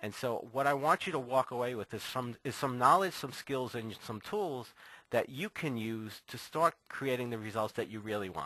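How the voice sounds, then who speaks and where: Against a quiet background, a man with an American accent speaks at a medium pitch in a bright, sharp tone with lively intonation. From New Jersey, US. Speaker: dating coach. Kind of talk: webinar presentation. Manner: fast; fumbles words.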